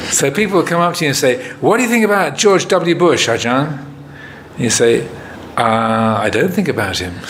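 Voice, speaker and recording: An American accent marks this man's fairly high voice, which swings very widely in pitch at a moderate pace. Audible room echo and noticeable background noise surround him. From England. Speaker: Buddhist monk, meditation teacher. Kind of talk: retreat Q&A talk. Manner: hesitant, many fillers.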